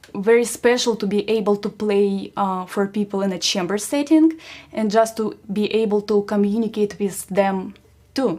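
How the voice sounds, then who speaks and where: A woman's medium-pitched voice with a Russian accent, a dark, mellow tone, fairly even intonation and a moderate pace. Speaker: musician. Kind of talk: concert introduction to audience. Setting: livestream concert. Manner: halting with fillers.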